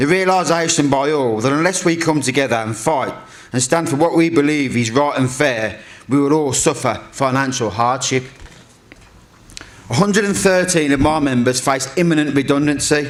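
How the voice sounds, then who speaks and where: A man with a Brummie accent talks at a moderate pace in a fairly high voice, with ordinary pitch variation and very even loudness. Audible room echo and noticeable background noise are present. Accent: Birmingham (Brummie). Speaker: trade union convener. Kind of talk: speech. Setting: stage with audience.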